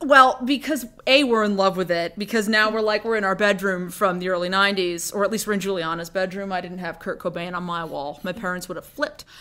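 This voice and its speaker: A woman's medium-pitched voice, bright and sharp in tone, at a very fast pace with hardly any pauses and ordinary pitch variation. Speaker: podcast co-host and actor. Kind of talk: casual chat. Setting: bedroom. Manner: animated.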